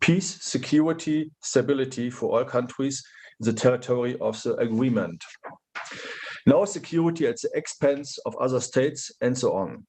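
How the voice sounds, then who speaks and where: A man speaks with a fairly high pitch and lively intonation. His voice is somewhat breathy. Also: moderate pace. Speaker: politician giving keynote. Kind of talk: keynote speech.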